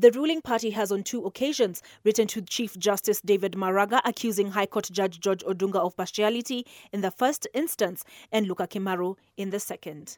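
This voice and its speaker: In a very clean recording with a silent background and a dry, close sound with no echo, a woman speaks in a normal speaking voice at medium pitch and a fairly quick pace, with ordinary pitch variation. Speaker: news reader. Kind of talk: news reading. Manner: formal; brisk, even newsreader delivery.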